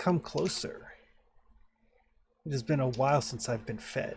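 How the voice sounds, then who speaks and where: Using a put-on character voice, a man speaks at a fairly high pitch. His pace is moderate. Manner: eerie, beckoning.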